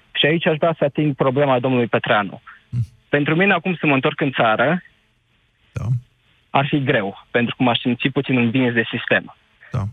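With a plain, everyday voice at medium pitch, a man speaks at a moderate pace and ordinary pitch variation. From Romania, Suceava county. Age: 20s. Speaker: caller, engineer working abroad. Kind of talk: radio phone-in.

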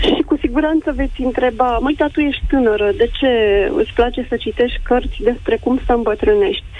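The pace is fairly quick, with noticeable background noise. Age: 30s. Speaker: caller. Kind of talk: phone-in call. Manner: formal.

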